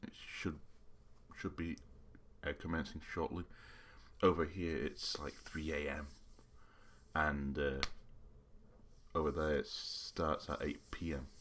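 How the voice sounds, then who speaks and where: There are long, frequent pauses in this man's speech. His pace is fairly slow. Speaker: YouTuber. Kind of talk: live reaction commentary. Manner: halting.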